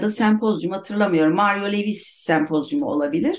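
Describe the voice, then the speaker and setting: A woman with a normal speaking voice talks at a fairly quick pace and medium pitch, her intonation lively. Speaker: writer. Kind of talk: casual chat.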